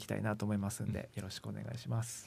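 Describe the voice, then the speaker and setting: The background is silent and the recording very clean. A man talks very fast. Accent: slight Kansai. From Japan, Kochi (Shikoku). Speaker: musician, lead guitarist. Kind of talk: casual interview chat. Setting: radio studio.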